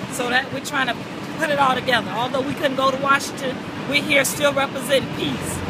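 Loud background noise surrounds a woman's voice. The sound is dry, with no echo. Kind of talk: interview answer. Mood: earnest, passionate. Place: street. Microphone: phone near.

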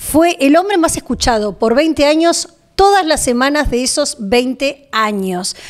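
Speaking fairly slowly with an Argentine accent, a woman uses a high pitch with very wide swings and very even loudness against a quiet background. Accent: Argentine Spanish (Rioplatense). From Argentina. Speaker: journalist and interviewer; journalist, interviewer. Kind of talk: interview. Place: studio. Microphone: studio mic.

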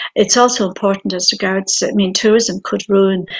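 A woman with a western Irish accent at a moderate pace, against a quiet background. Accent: Connemara Irish English. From Ireland, Aran Islands; Ireland. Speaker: writer; guest. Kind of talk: panel discussion. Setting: video call. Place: home room. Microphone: video call.

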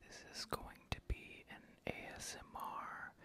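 The male speaker keeps his voice to a whisper. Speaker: horror movie fan channel host. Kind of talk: casual talk to camera. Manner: whispered. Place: home room. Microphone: studio mic.

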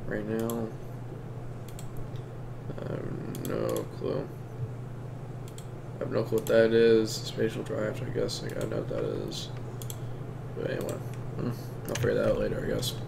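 A man speaks at a moderate pace with long, frequent pauses. There is noticeable background noise. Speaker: streamer. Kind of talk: casual gameplay commentary. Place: home room. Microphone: headset.

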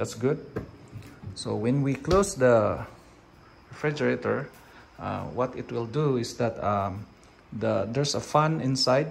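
A man with a Filipino accent at medium pitch, with ordinary pitch variation, a fairly slow pace, long, frequent pauses, and light background noise. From Philippines. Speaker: product reviewer vlogger. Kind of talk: product review video. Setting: at home, filming in the kitchen. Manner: halting, with frequent fillers. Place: kitchen. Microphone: phone near.

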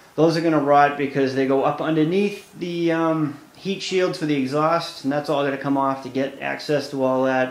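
There is audible room echo as a man talks with fairly even intonation. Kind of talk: tutorial. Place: garage. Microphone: phone near.

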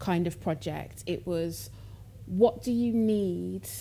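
The woman's voice is fairly low in pitch, with a dark, mellow tone. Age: 20s. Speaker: artist. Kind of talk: public conversation. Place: stage.

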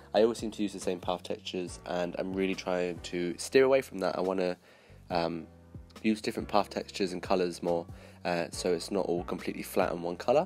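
With music in the background, a man with a very deep, low pitch talks at a fairly quick pace and ordinary pitch variation. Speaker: video game builder. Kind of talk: gameplay commentary. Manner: casual, hesitant.

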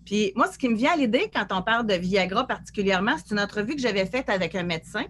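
A woman speaks with lively intonation. Light background noise can be heard. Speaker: media co-host. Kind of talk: talk show conversation. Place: home room. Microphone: video call.

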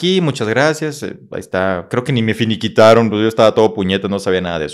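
A man with a northern Mexican accent speaks at medium pitch. His pace is fairly quick against a quiet background. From Mexico, Coahuila (Monclova, Saltillo); Coahuila, Mexico. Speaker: motivational speaker and psychologist; motivational speaker. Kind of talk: interview, life story. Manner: animated. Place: studio. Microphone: studio mic.

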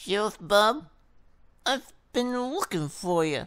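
A put-on character voice that sounds female, pitched in the middle range for a woman. She growls her lines at a fairly slow pace. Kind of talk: western villain. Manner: snarling.

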